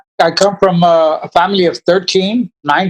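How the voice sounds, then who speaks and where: A high-pitched man with an American accent, in a dry, close recording with no echo. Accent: Tejano South Texas English. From South Texas, Brownsville. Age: 60s. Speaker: war veteran. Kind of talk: interview answers.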